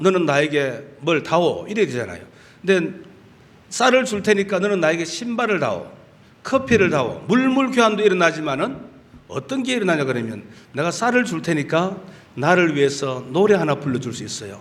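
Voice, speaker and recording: Amid audible room echo, a man with a high pitch makes very wide pitch swings at a moderate pace. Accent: Gyeongsang. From Gyeongsang region, South Korea. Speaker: pastor. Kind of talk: sermon. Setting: church. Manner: animated.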